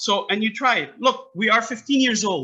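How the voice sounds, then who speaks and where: In a raised, projected voice, a man with a high pitch and a bright, sharp tone talks at a fairly quick pace. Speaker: soccer academy founder and coach. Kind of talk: interview. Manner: loud; animated.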